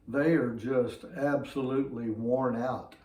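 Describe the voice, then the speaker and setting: The speaker has a Southern US accent and talks at a very slow pace. Audible room echo surrounds the voice. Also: man. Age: 60s. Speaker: fitness vlogger. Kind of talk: casual talk to camera.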